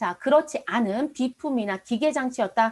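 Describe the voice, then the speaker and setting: A woman with a high pitch and lively intonation speaks at a moderate pace. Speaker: accounting and tax instructor. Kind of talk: lecture. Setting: online live class recording. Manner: engaging, frequent rhetorical questions to students.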